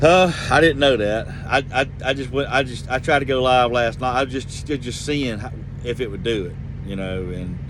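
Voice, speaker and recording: With noticeable background noise behind him, a man speaks at a medium pitch with a Georgia accent. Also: ordinary pitch variation, moderate pace. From Georgia, US South. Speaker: truck driver vlogger. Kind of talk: casual vlog monologue. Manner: rambling, conversational.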